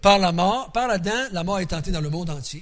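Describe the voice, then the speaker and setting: A man in a Quebec accent speaks at a high pitch with ordinary pitch variation, and the room echo is audible. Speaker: Bible teacher. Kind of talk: Bible study teaching. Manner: casual, conversational.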